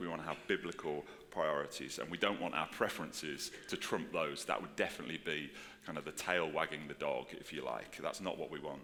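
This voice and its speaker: The voice moves at a fairly quick pace, with audible room echo and noticeable background noise. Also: man. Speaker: pastor. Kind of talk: sermon. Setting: church with congregation. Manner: casual, filler-heavy.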